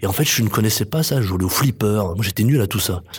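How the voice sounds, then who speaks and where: This is a man with a fairly low pitch. Noticeable background noise runs behind him. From France, Chartreuse near Grenoble. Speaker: playwright and theatre director. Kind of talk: interview.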